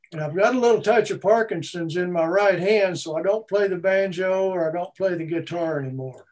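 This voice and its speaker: A man with a Texan accent talks at a fairly quick pace with hardly any pauses, his high pitch showing ordinary pitch variation. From Texas, Austin. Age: 70s. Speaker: retired musician. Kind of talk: interview.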